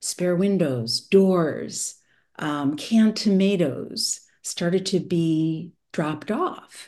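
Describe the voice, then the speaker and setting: A woman with an American accent, very slow and fairly low-pitched, with a dark, mellow tone and lively intonation, against a quiet background. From US Midwest, Madison, Wisconsin. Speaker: cultural anthropologist and author. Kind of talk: interview.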